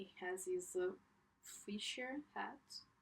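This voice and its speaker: A woman's voice at a very slow pace. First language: not English. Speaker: artist. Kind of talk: casual chat. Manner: halting.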